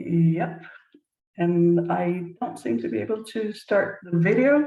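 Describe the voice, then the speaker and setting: In a Danish accent, the voice moves at a very slow pace with very wide pitch swings, a dark, mellow tone and a somewhat breathy quality. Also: woman, fairly low pitch for a woman. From Denmark. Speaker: business leadership consultant. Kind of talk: casual talk with host.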